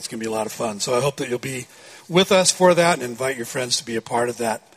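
A man at a very fast pace, with ordinary pitch variation, over noticeable background noise. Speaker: pastor. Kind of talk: sermon.

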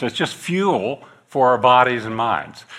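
A man with a US Midwestern accent speaks in a bright, sharp tone. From US Midwest, northeastern Kansas. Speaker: guest preacher, missionary agency director. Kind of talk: sermon. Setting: church.

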